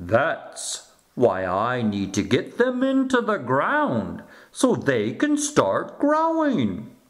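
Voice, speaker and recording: The voice is a put-on character voice. Its pace is very slow. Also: man. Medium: read story. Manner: gentle, patient.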